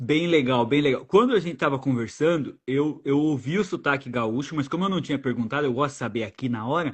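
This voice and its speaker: A man with an unremarkable speaking voice talks at a fairly quick pace and a fairly high pitch, with ordinary pitch variation and hardly any pauses. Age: 30s. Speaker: travel podcast host. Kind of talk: casual interview chat. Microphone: new microphone.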